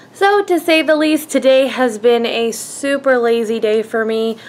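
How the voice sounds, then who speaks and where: The speaker is a woman whose voice shows ordinary pitch variation. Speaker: vlogger. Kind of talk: casual vlog chat. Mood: relaxed, lazy-day tone. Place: home room. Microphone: phone near.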